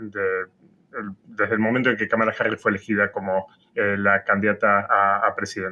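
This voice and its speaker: With an Argentine accent, a man speaks at a fairly quick pace in a fairly low voice with fairly even intonation. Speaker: political science professor. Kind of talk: interview. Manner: halting, many fillers.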